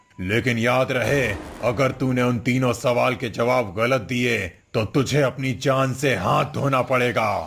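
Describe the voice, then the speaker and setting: A man puts on a character voice at medium pitch. He speaks at a fairly slow pace. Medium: read story. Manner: menacing, gloating.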